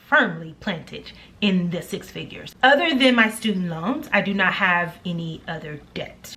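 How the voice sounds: A woman with a bright, sharp tone speaks with lively intonation amid audible room echo.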